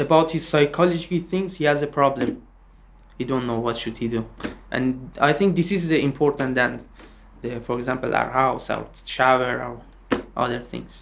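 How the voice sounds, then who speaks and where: A man with a Persian accent, medium in pitch, ordinary in pitch variation, at a moderate pace. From Iran. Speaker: refugee musician. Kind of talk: interview.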